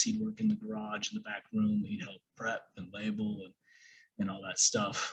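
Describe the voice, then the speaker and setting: A man's somewhat breathy voice at a moderate pace, with ordinary pitch variation. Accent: American. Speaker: online business coach. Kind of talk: course lecture. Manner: casual, many fillers.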